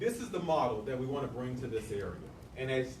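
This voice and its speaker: Through noticeable background noise and audible room echo, a man speaks at a medium pitch with lively intonation. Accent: American. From US South, Tulsa, Oklahoma. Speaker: community nonprofit leader. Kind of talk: community presentation. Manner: fast.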